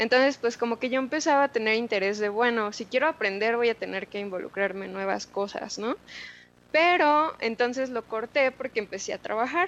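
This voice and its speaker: Delivered at a fairly quick pace, this is a plain, everyday voice with ordinary pitch variation. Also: woman, fairly high pitch for a woman. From Mexico City. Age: 20s. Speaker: tech community leader. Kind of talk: interview.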